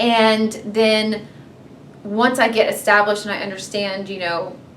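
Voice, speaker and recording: A woman with an American accent and a fairly high pitch talks at a fairly slow pace, her loudness swinging widely. The recording has noticeable background noise and audible room echo. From US South, Georgia (Marietta). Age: 30s. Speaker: reality TV contestant. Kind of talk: interview. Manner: loud, excitable.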